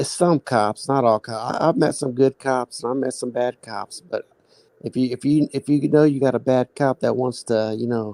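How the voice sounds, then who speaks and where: Man with a Midwestern accent, medium pitch, dark, mellow tone, fairly even intonation, moderate pace, dry, close sound with no echo. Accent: Midwestern country. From Kansas City. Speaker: guest on live stream. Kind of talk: casual chat. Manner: halting, many fillers.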